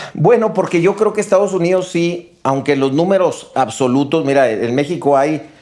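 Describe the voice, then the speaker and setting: This man talks with a high pitch and lively intonation, at a moderate pace with hardly any pauses. Noticeable background noise runs under the recording. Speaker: business executive. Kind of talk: casual chat.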